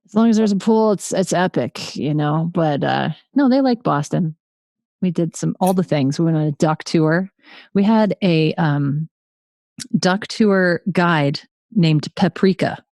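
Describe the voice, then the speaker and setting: Over a quiet background, a woman with a New England accent speaks at a fairly slow pace and fairly low pitch, with ordinary pitch variation, in a dry, close sound with no echo. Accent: New England American. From Connecticut. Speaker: podcast host. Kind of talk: casual chat.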